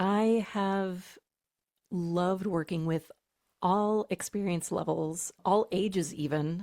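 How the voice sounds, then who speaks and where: Recorded very cleanly against a silent background with a dry, close sound and no echo, a woman speaks at a very slow pace and medium pitch, her tone dark and mellow, her loudness very even and her intonation fairly even. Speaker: mezzo-soprano singer and voice teacher. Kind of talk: podcast interview answer.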